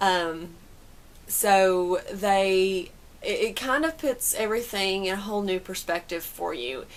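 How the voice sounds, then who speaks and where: At a fairly slow pace, a woman speaks with lively intonation. Her pitch is medium. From Southern United States. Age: 30s. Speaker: amateur runner. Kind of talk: casual talk to camera.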